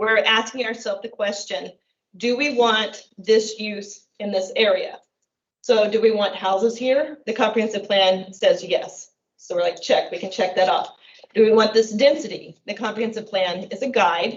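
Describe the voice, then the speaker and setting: Fairly high-pitched with ordinary pitch variation, a woman talks at a moderate pace in an ordinary speaking voice. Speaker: city planning staff presenting to council. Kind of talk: council meeting staff report.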